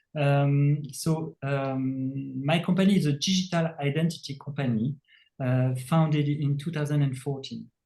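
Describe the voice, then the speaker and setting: A somewhat breathy voice with a dark, mellow tone moves at a fairly slow pace. Its intonation stays fairly even. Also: man, fairly high pitch for a man. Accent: French. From France. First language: French. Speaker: tech company CEO. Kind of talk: interview. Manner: halting, many fillers.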